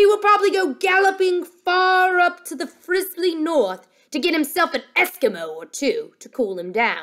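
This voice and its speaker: A woman uses a put-on character voice at an extremely high pitch and a moderate pace. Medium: read story. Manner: ungrammatical, playful wordplay.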